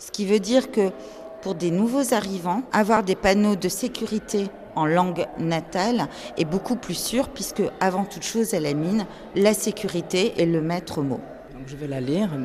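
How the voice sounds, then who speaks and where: A woman's medium-pitched voice at a fairly slow pace, with lively intonation and big swings in loudness over noticeable background noise. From northern France, Nord-Pas-de-Calais mining basin. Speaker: archives director and exhibition curator. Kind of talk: interview.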